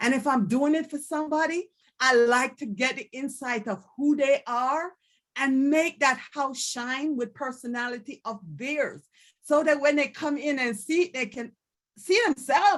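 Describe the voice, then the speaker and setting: Speaking fairly slowly with a Jamaican accent, a woman uses a high pitch and ordinary pitch variation against a quiet background. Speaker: candidate for district office. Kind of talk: panel self-introduction.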